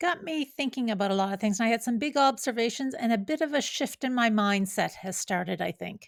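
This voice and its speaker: A woman with a normal speaking voice talks at a fairly quick pace with hardly any pauses, her pitch fairly high and her intonation lively. The recording is very clean, with a silent background. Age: 50s. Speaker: running vlogger. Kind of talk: personal vlog narration.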